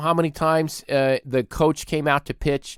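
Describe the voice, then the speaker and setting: Loud and animated, a man talks at a moderate pace and fairly high pitch, sounding dry and close with no echo. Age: 30s. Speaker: podcast host. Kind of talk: comedic rant.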